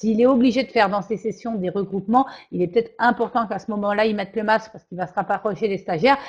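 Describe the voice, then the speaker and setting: A woman talks at a very fast pace and a fairly high pitch, her voice somewhat breathy. Her intonation is fairly even, and the background is quiet. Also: big swings in loudness. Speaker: training consultant, webinar presenter. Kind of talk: webinar presentation. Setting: online virtual class. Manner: hesitant, with fillers and repetitions.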